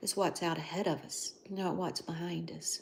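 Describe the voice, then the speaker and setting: A woman's fairly low, monotone voice with vocal fry and flat intonation at a moderate pace. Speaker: livestreamer. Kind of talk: casual chat. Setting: livestream.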